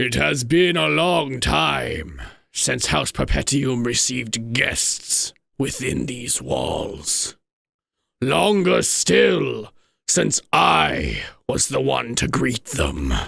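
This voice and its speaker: In a raspy, hoarse put-on character voice of medium pitch, a man speaks at a very slow pace. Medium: virtual streamer. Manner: contemptuous, theatrical.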